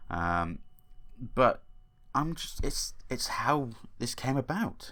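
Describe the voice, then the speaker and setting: Bright, sharp tone from a man, with very wide pitch swings. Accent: British. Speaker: gaming lore youtuber. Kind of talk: casual lore explainer commentary.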